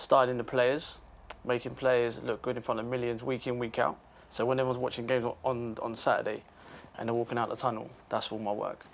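A man speaks at a fairly quick pace in a flat monotone. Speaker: guest. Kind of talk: interview answer. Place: studio. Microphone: lapel.

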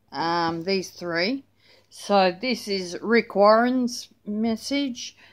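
Over a quiet background, a woman with an Australian accent speaks very slowly, her fairly high pitch showing ordinary variation. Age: 40s. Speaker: planner vlogger; planner hobby vlogger. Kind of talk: casual chat; casual vlog chat. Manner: rambling with fillers. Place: home room. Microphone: phone near.

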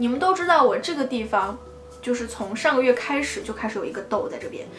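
Over music in the background and audible room echo, a woman speaks in a high pitch with very wide pitch swings. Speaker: beauty vlogger. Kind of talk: product review vlog.

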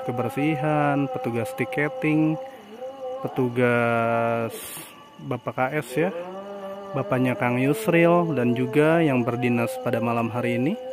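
Noticeable background noise sits under a man talking at a fairly slow pace. His pitch varies in an ordinary way, and the sound is dry with no echo. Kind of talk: casual vlog commentary. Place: station.

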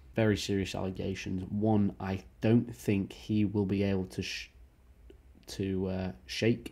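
A man at a fairly slow pace, with a fairly low pitch, ordinary pitch variation and a dark, mellow tone, in a very clean recording with a silent background. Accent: English. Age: 20s. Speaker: YouTube commentator. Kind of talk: casual reaction commentary.

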